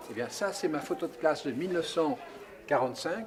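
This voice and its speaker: A man's high-pitched voice against noticeable background noise. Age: 80s+. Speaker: painter. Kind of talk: interview. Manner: halting.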